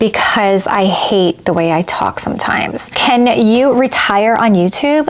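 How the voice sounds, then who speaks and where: There is noticeable background noise behind a woman whose pitch is fairly high. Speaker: handbag and fashion YouTuber. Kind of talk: casual vlog talk to camera. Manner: slow, with pauses and stumbles.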